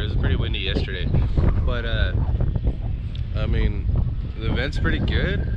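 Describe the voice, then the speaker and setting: Loud background noise runs under a man talking at a fairly quick pace. The sound is dry, with no echo. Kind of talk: casual vlog chat. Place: open country. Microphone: phone near.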